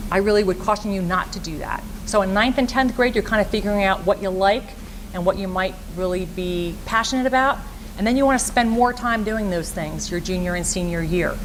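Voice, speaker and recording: Amid noticeable background noise, a woman talks fairly quickly at medium pitch with ordinary pitch variation. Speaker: school guidance counselor. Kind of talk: presentation to parents and students. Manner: fast.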